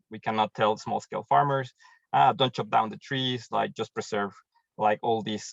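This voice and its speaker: A man's medium-pitched voice with a Mexican accent, ordinary pitch variation and a moderate pace. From Mexico. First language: Spanish. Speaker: programs manager at a tree-planting charity, agronomist. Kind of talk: webinar presentation.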